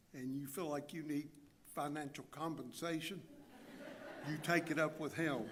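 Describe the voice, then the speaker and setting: An American-accented man speaks at a moderate pace in a flat monotone. His fairly high voice carries audible room echo. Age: 60s. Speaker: church member giving testimony. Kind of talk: testimony. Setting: church. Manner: halting pauses.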